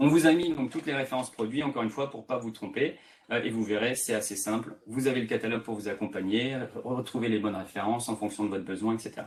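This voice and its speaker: Here a man talks at a very fast pace in a medium pitch. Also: ordinary pitch variation. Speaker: tech sales presenter. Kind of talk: webinar presentation. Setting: online webinar. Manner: hesitant fillers.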